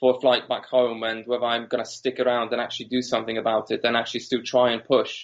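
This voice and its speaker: Using a Polish accent, a man speaks at a very fast pace in a medium pitch with monotone, flat intonation. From Poland. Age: 30s. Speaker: entrepreneur. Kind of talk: interview.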